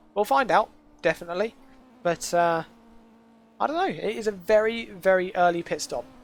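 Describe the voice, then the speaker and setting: The speaker keeps a moderate pace broken by long, frequent pauses. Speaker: sim racing shoutcaster. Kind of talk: live race commentary. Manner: casual, conversational.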